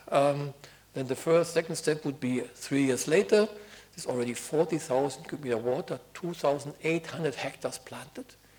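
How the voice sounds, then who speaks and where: A man has a normal speaking voice, pitched fairly high with ordinary pitch variation. His pace is fairly quick, with big swings in loudness. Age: 60s. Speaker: project director. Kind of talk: conference talk. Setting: conference stage with audience.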